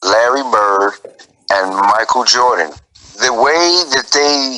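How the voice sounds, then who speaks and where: Speaking at a very slow pace, a man uses lively intonation in an American accent. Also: medium pitch for a man. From New York. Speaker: guest, sports fan. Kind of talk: heated debate.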